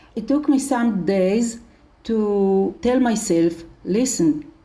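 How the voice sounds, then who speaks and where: Amid audible room echo, a woman with a fairly high pitch and a dark, mellow tone speaks at a very slow pace with lively intonation. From Israel. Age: 70s. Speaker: charity leader. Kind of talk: interview.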